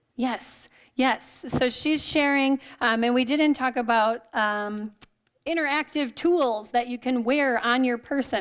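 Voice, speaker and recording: A woman's high voice at a fairly slow pace with fairly even intonation, in a very clean recording against a silent background. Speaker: exercise and wellness presenter. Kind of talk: lecture.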